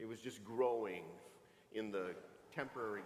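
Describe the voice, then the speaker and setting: Audible room echo surrounds a man as he talks at a fairly quick pace. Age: 60s. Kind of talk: sermon. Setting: church. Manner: animated, conversational.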